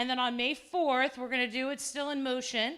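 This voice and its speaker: A woman speaks loudly at a high pitch. Her tone is animated, bright and sharp. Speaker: event host and communication studies professor. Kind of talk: live event introduction. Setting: stage with audience.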